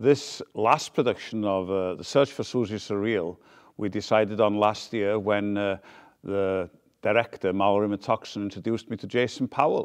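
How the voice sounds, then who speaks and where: Against a quiet background, a man speaks with a Welsh accent. His pitch is fairly low and his pace moderate. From Wales. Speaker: founder of a community theater group. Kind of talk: interview; rehearsal coaching.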